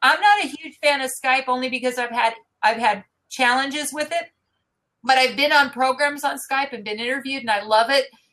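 Speaking at a fairly quick pace in a raised, projected voice, a woman talks at a high pitch with ordinary pitch variation. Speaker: interview host and marketing business founder. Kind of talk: live interview broadcast. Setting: live online video broadcast.

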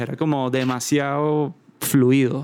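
A man's plain, everyday voice at a medium pitch, with fairly even intonation. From Venezuela, Caracas. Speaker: musician and creative director. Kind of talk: casual chat.

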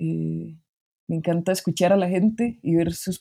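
At a fairly slow pace, a woman speaks in a fairly low pitch with a dark, mellow tone. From Costa Rica, Heredia. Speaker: graphic designer. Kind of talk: interview conversation.

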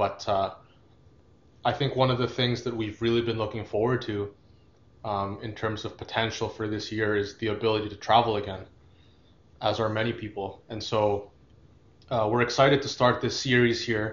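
A somewhat breathy man at fairly low pitch, fairly quick and monotone, flat in intonation. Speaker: podcast co-host. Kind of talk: casual chat.

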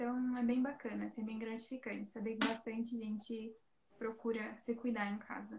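Using a monotone, flat intonation, a woman speaks at a moderate pace. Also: fairly high pitch for a woman. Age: 20s. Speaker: beautician. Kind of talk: casual chat.

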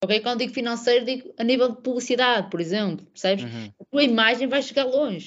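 Speaking at a very fast pace with hardly any pauses, a woman uses a high pitch. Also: ordinary pitch variation. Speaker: women's football social media professional and podcaster. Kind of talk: casual chat.

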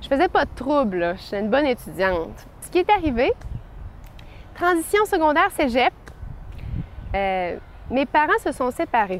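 A woman speaks at a moderate pace with long, frequent pauses. Her high voice shows very wide pitch swings and big swings in loudness. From Quebec City. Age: 20s. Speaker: young churchgoer giving a faith testimony. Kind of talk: testimony.

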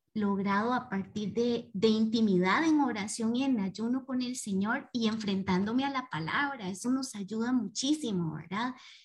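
A woman's somewhat breathy, fairly high voice in a calm tone, at a fairly slow pace with ordinary pitch variation. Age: 30s. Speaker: participant. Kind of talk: casual chat. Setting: video call.

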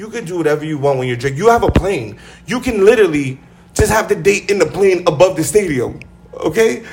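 Noticeable background noise sits behind a man with a high pitch. He talks at a fairly quick pace with lively intonation. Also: big swings in loudness. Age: 30s. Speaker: podcast host. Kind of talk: casual chat. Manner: animated.

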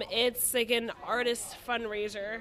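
A woman's fairly high voice with an American accent, over noticeable background noise. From Connecticut, East Hartford. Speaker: DJ and events organizer. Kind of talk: casual chat.

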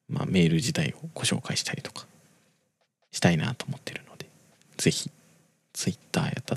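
Whispering in a relaxed tone at a moderate pace, the speaker leaves long, frequent pauses, with big swings in loudness and a dry, close sound with no echo. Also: man. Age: 20s. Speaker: podcast host. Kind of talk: casual monologue. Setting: home recording at night. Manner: rambling, relaxed.

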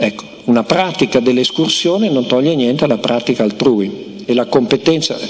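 A man's voice at a moderate pace with lively intonation, hardly any pauses and noticeable background noise. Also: medium pitch for a man, very even loudness. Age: old. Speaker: philosopher. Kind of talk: lecture.

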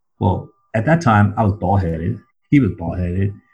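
Speaking at a moderate pace with an American accent, a man has a fairly low pitch and a dark, mellow, somewhat breathy tone. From southern California. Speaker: recovering addict sharing story. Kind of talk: testimony. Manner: halting, many fillers and repeats.

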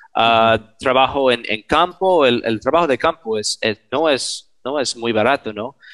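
With an English accent, a man speaks at a fairly slow pace with hardly any pauses. The sound is dry and close with no echo, over a quiet background. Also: medium pitch for a man, ordinary pitch variation. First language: English (speaking Spanish). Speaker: archaeologist, member of an aid collective. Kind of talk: interview. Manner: halting, many repetitions.

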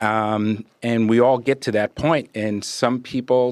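On a very clean recording with a silent background and a dry, close sound with no echo, a man of medium pitch speaks at a very slow pace in a monotone, flat intonation. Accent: New York. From New York (Brooklyn and Long Island). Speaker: financial planner. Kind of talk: casual interview.

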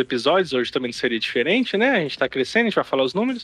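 This is a man's voice. His sound is dry and close, without any echo. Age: 30s. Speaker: podcast host. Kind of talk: casual chat. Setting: online group call.

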